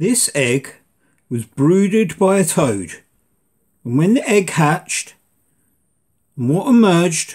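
Speaking at a very slow pace, a man with a fairly high pitch lets it swing very widely. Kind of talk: scripted documentary narration. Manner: measured, dramatic storyteller cadence; formal, ominous, steady.

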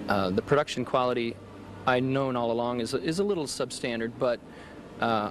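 Noticeable background noise surrounds a man speaking with fairly even intonation, the sound dry with no echo. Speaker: interviewee. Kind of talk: interview answer. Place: garden. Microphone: handheld.

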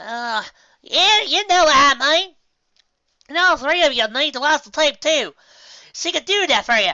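In a put-on character voice, the speaker goes at a moderate pace with long, frequent pauses. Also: man, extremely high pitch for a man. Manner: rambling, grumbling.

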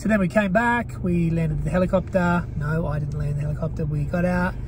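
A fairly quick delivery in a dry, echo-free sound, with noticeable background noise. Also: man. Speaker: travel vlogger. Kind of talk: casual vlog chat. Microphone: handheld.

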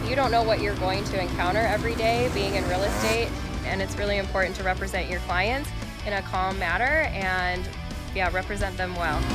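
A woman at a fairly quick pace over clear background music. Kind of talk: interview answer. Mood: warm, upbeat. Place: garage.

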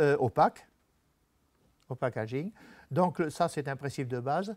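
Lively intonation from a man, in a quiet background. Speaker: retired typography and calligraphy teacher; calligraphy teacher. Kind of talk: talk with slides to an audience. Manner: halting, with many hesitations. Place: meeting room. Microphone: lapel.

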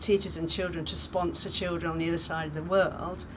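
Over light background noise, a woman with a British accent speaks in a warm tone with monotone, flat intonation. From England. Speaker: charity sponsor and retired teacher. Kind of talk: testimony. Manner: warm, chatty with frequent hesitations. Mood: warm, thoughtful.

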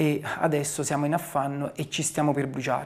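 A man is speaking. The background is quiet. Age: 40s. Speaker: town mayor. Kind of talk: interview. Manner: hesitant, with frequent fillers. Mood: calm, reflective. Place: office.

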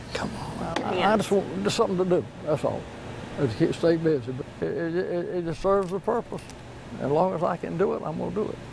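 In a Southern US accent, a man talks at a fairly quick pace and a high pitch with ordinary pitch variation, the sound dry with no echo but carrying noticeable background noise. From North Carolina. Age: 90s. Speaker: cabinet maker. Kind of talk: interview. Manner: halting. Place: workshop.

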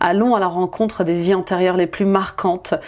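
At a moderate pace, a woman is speaking. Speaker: tarot reader, life coach. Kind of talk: promotional talk in a tarot reading video. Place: home room.

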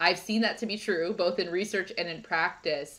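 This woman keeps a moderate pace. Her intonation is fairly even. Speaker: podcast host. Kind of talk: podcast interview. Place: home room.

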